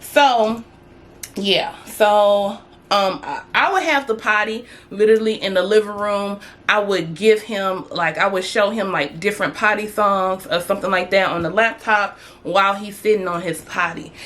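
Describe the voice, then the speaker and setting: A woman talks at a moderate pace and medium pitch, with an animated tone and ordinary pitch variation. Noticeable background noise runs behind her. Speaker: parenting vlogger. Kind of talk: casual tutorial vlog.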